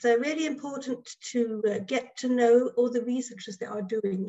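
Against a quiet background, a woman talks at a moderate pace with a fairly high pitch. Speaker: choral conductor and researcher. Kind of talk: webinar presentation. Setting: video call. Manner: halting. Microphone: video call.

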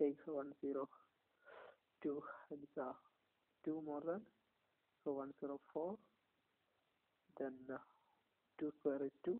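The speech moves at a very slow pace, with long, frequent pauses. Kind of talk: tutorial. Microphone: phone near.

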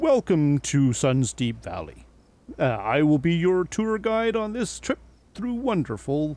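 A put-on character voice from a man, fairly high in pitch, with very wide pitch swings. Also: fairly slow pace. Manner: cheerful, upbeat.

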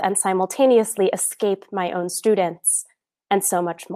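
A woman with an American accent, dark and mellow in tone, her intonation fairly even at a moderate pace against a quiet background. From New York City. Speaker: artist and professor, keynote speaker; professor, keynote speaker. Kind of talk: conference keynote talk. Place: home room. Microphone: earbuds.

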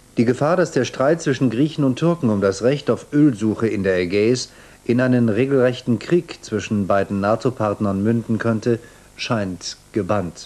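A man talks at a moderate pace. His intonation is lively. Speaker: news presenter. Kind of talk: TV news broadcast reading. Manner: formal, measured. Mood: calm, formal, neutral. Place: studio. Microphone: lapel.

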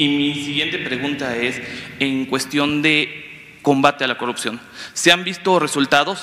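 This man talks at a fairly slow pace. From Campeche, Mexico. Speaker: journalist. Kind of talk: press conference question. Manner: formal. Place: hall. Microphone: handheld.

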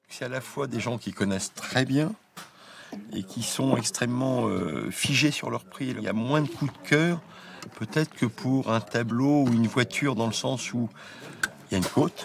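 Amid noticeable background noise, a man talks at a medium pitch and a fairly slow pace with long, frequent pauses and ordinary pitch variation. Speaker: auctioneer.

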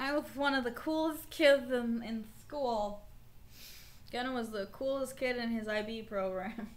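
Her pitch sits high and varies in an ordinary way. The woman talks fairly slowly. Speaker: streamer. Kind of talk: casual livestream chat. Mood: playful joking. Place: home room.

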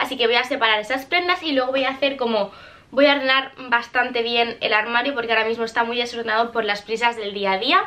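A woman's high-pitched voice rushes along at a very fast pace with ordinary pitch variation. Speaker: vlogger. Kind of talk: casual vlog chat. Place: home room.

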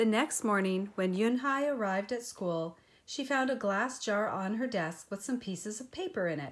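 An unforced reading voice carries the words.

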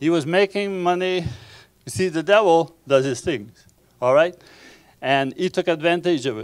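A man with a Quebec accent speaks at a high pitch with ordinary pitch variation. Long, frequent pauses break his speech over a quiet background. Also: moderate pace. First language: French. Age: 60s. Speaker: pastor. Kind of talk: sermon. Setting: church. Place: church. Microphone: handheld.

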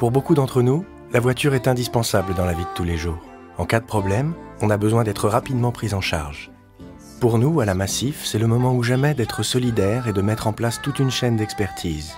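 With music in the background, a man speaks at a medium pitch and fairly quick pace with lively intonation. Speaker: voice actor. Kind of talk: corporate insurance commercial read. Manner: serious, reassuring, authoritative.

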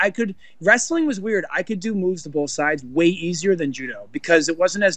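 A high-pitched man at a fairly quick pace, lively intonation, hardly any pauses, a dry sound with no echo and a quiet background. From Montenegro. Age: 30s. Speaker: Olympic judo athlete; guest. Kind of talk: interview. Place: hall. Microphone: video call.

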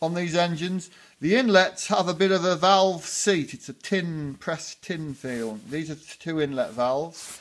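A man speaks in a high pitch. His pace is fairly slow, with ordinary pitch variation. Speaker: hobby tractor restorer. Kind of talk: tutorial. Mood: relaxed, chatty. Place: workshop. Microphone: phone near.

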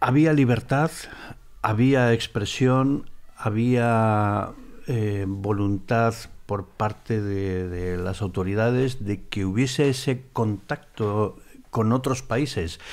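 At a very slow pace, a man with a medium pitch speaks with ordinary pitch variation. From Spain. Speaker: former paparazzi, tea house owner; podcast guest. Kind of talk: casual interview. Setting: tea house. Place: studio. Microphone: studio mic.

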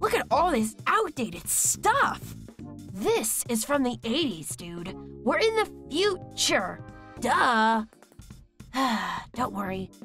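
A put-on character voice speaks at a very slow pace with long, frequent pauses. Faint music plays in the background. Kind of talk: character demo reel. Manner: sassy, casual.

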